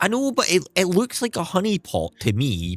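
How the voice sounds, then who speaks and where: On a very clean recording with a silent background, a man's voice swings very widely in pitch, the sound dry and close with no echo. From Scotland. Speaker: gaming streamer. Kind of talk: casual live-stream chat. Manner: tries to speak clearly.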